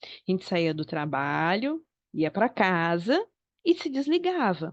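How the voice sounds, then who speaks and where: A woman at a very slow pace, with very wide pitch swings. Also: medium pitch for a woman. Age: 40s. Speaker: psychologist. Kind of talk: online talk.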